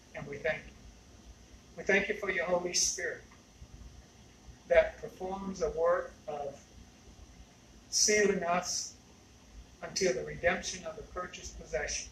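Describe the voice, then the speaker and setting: A man's loudness swings widely across long, frequent pauses, with audible room echo and light background noise. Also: fairly slow pace. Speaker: pastor. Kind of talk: sermon prayer. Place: church. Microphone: camera far.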